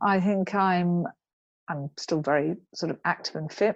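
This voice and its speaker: A woman in a southern English accent, medium in pitch and fairly slow, against a quiet background. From England, Cambridge. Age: 60s. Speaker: equestrian rider and author. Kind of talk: interview. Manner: halting.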